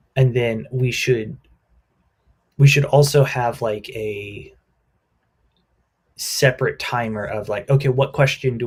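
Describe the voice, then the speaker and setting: A man with an American accent speaks at a fairly slow pace in a somewhat breathy voice. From US Midwest. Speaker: livestream co-host. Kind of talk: casual planning chat.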